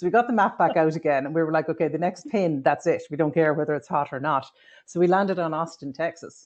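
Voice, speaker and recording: A woman with an Irish accent talks at a very fast pace and a fairly low pitch. The background is quiet. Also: ordinary pitch variation. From Ireland. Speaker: tech worker. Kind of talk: casual chat.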